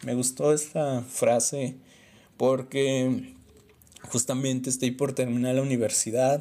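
A man with a Mexican accent and a dark, mellow tone speaks very slowly at a medium pitch in monotone, flat intonation, with long, frequent pauses. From Mexico. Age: 20s. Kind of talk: book review monologue. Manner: casual, conversational.

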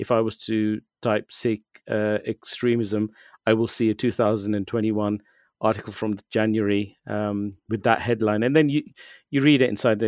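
With a British accent, a man speaks at a moderate pace in a fairly low, monotone, flat voice, recorded very cleanly with a silent background and a dry, close sound with no echo. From UK. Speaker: writer on Sikh issues. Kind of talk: interview. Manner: halting, many fillers.

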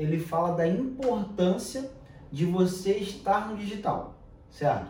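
A man speaks at a high pitch with lively intonation. Audible room echo and noticeable background noise come through. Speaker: podcast host. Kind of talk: casual chat.

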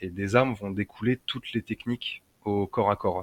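In a dry, close sound with no echo, a man uses a normal speaking voice at a fairly low pitch, with a moderate pace and fairly even intonation. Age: 30s. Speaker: lightsaber and martial arts instructor. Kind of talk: casual interview.

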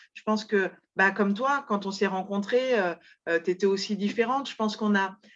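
A woman at a moderate pace, medium in pitch and ordinary in pitch variation. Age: 30s. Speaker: online zero-waste shop founder. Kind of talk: interview. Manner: halting, many repetitions and hesitations.

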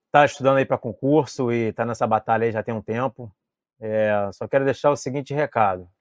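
A man talks in a normal speaking voice at a fairly quick pace with fairly even intonation, the sound dry and close with no echo over a quiet background. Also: medium pitch for a man. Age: 40s. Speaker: civil police officer. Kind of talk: podcast interview. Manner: casual, slangy.

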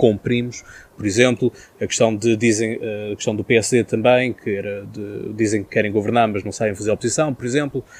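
A man talks in an unremarkable speaking voice. His pitch is medium and his intonation fairly even. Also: dry, close sound with no echo. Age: 20s. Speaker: podcast host. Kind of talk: interview. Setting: outdoor terrace.

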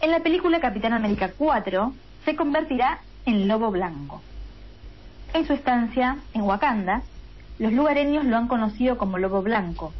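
The voice swings very widely in pitch at a moderate pace, with long, frequent pauses. Its loudness stays very even. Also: woman, fairly high pitch for a woman. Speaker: radio co-host. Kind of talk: casual chat. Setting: remote from home.

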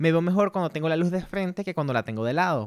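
Very fast, animated speech from a man with a Venezuelan accent, fairly high pitch and lively intonation, in a very clean recording with a silent background. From Venezuela (Ciudad Bolívar). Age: 30s. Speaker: photographer and podcast host. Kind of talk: casual solo monologue. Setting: home studio set. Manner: animated, laughing often.

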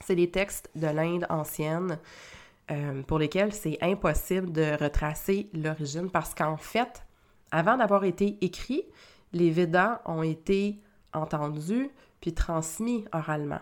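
A woman speaks very slowly in a fairly low voice with ordinary pitch variation, on a very clean recording with a silent background. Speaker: spiritual coach and podcast host. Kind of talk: solo podcast talk. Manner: hesitant with repetitions.

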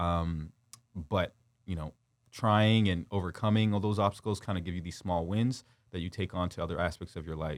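In a Canadian accent, a man with a very deep, low pitch talks at a moderate pace with fairly even intonation. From Windsor, Ontario, Canada. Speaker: former pro football player and youth coach. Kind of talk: interview. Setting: studio.

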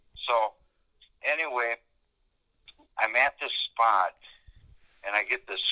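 A man speaks at a slow pace and medium pitch, with a bright, sharp tone. The sound is dry and close, with no echo.

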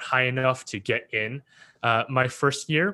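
A man speaks with a Canadian accent. His tone is bright and sharp. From Canada, Vancouver area. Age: 20s. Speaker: youth mentor and entrepreneur. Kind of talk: casual interview chat.

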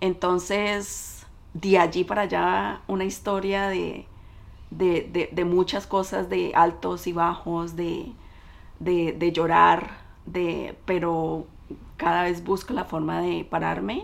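A woman with a Colombian accent speaks at a very slow pace. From Colombia, Cali. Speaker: business owner. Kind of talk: interview.

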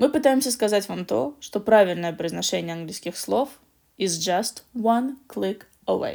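Vocal fry runs through a woman's medium-pitched voice, which has lively intonation and a fairly slow pace. The recording is very clean, with a silent background. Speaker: podcast co-host, English learning. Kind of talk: casual educational chat.

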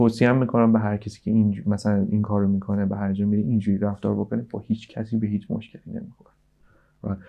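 A man at a very fast pace, with a fairly low pitch and monotone, flat intonation. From Iran. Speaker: video game development director. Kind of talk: casual interview.

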